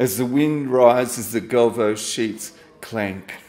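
This man speaks at a very slow pace. His pitch varies in an ordinary way. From Australia. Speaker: poet. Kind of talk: poetry reading at a live event. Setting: stage with audience. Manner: wry, self-deprecating, casual. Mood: reflective, nostalgic. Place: cafe. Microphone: handheld.

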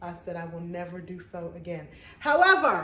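There is audible room echo as a woman speaks. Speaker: thrift haul vlogger. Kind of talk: casual vlog chat. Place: home room. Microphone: phone near.

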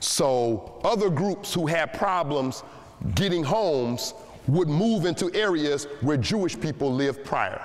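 At a fairly slow pace, a man talks with lively intonation and very even loudness. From Detroit, Michigan. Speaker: historian and tour guide. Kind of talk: history lecture to high school students. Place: hall.

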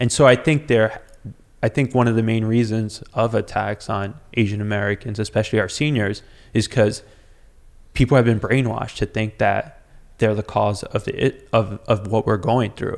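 The background is quiet. A man speaks at a moderate pace with fairly even intonation. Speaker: podcast guest. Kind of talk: interview answer. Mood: earnest, engaged. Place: studio. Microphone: studio mic.

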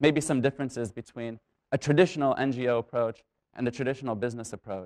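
A man talking at a very fast pace against a quiet background. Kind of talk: public talk. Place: stage.

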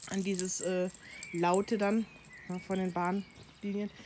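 Noticeable background noise sits behind the recording. A woman of medium pitch speaks at a very slow pace. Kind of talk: casual talk to camera. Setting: outdoors. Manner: chatty.

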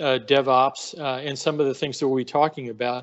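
The voice is a man's. The background is quiet. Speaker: speaker. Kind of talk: webinar talk. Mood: warm, grateful. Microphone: video call.

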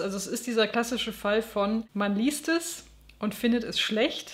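A woman with a fairly high pitch and fairly even intonation speaks in an unremarkable speaking voice. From West Germany. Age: 30s. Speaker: book YouTuber. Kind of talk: book review monologue.

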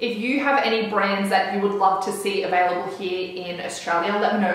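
There is strong room echo as a woman speaks at a moderate pace. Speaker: beauty vlogger. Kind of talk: casual vlog chat. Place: home room.

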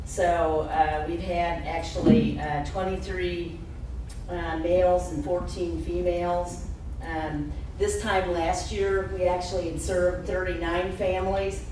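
The man speaks at a very slow pace. Light background noise and audible room echo surround him. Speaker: county coroner giving report. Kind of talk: public meeting report. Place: meeting room.

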